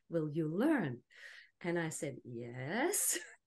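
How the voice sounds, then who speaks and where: Against a quiet background, a woman speaks with a Danish accent. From Denmark. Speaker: plant medicine and genital de-armouring practitioner. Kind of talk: panel discussion.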